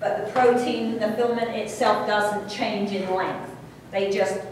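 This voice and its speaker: A woman's fairly slow, fairly even-toned speech with strong room echo and light background noise. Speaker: college instructor. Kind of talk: lecture. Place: classroom. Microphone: camera far.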